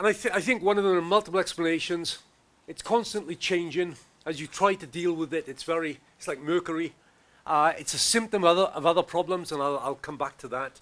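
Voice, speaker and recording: A very fast, high-pitched man's voice with big swings in loudness. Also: ordinary pitch variation. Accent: Welsh. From Wales. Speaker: professor. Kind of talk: conference talk.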